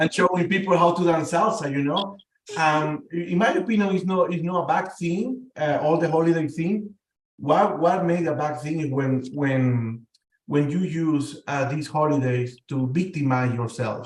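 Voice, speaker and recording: This man speaks with a Spanish accent at a moderate pace. His pitch is fairly high. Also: ordinary pitch variation. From Venezuela. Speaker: panel guest. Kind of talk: casual discussion. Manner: halting, many repetitions.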